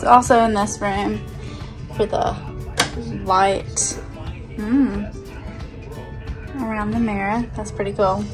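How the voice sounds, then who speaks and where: The speech moves at a very slow pace, with clear music in the background. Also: woman. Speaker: travel vlogger. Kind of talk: casual cabin tour talk to camera. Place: home room. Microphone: phone near.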